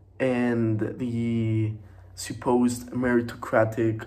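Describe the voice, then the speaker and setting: In a room with audible echo, a man speaks in a medium pitch with monotone, flat intonation. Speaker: student. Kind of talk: student presentation. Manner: hesitant, many fillers.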